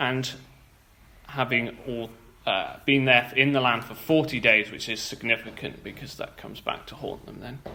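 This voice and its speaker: The voice has a bright, sharp tone and a fairly slow pace, with audible room echo. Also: man. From England, moved to Wales. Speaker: church speaker. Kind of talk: sermon. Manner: halting, with fillers.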